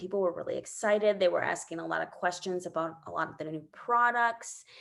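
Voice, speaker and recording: This woman talks with lively intonation. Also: quiet background. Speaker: direct sales team leader. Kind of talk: team training video call. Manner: fast.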